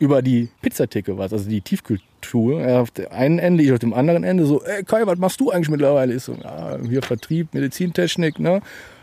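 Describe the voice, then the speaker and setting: In a dry, close recording with no echo, a man with a dark, mellow tone and medium pitch speaks very fast with lively intonation. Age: 30s. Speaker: start-up founder, salesman. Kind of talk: interview.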